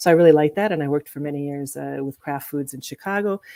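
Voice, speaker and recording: A woman with an American accent, very fast, her pitch very deep and low, her tone dark and mellow, in a dry, close sound with no echo and a very clean recording over a silent background. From US, New Mexico. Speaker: corporate executive and nonprofit board member. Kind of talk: interview. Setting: live video stream. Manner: halting, many fillers.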